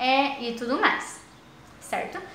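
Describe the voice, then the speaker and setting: In a room with audible echo, a woman speaks very slowly in a high, raised, projected voice. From Paraná, southern Brazil. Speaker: teacher trainee. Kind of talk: recorded lesson for primary pupils. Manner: hesitant, many fillers.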